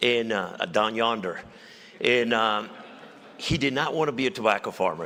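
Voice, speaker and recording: A man at a medium pitch, moderate pace and ordinary pitch variation. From Mexico. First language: Spanish. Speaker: former police chief and general, state official. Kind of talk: on-stage interview. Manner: halting, repeats words.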